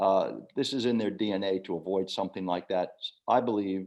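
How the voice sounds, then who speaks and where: The voice, with an American accent, moves at a moderate pace with fairly even intonation against a quiet background. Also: man. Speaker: former diplomat. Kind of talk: Q&A at online book launch. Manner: halting.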